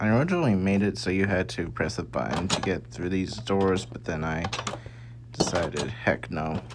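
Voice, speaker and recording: A soft-spoken, mumbling voice moves at a moderate pace over noticeable background noise. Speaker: gaming video creator. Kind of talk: casual game tour commentary.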